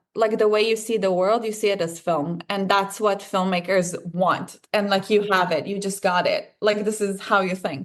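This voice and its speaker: A woman speaks in an Israeli accent at medium pitch. Her intonation is fairly even and her pace moderate. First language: Hebrew. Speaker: filmmaker and actor. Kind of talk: interview. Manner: casual, many fillers.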